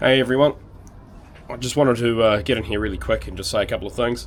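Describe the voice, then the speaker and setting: A man rattles off a very fast, raspy, croaky put-on character voice at medium pitch. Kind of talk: casual, vlogger.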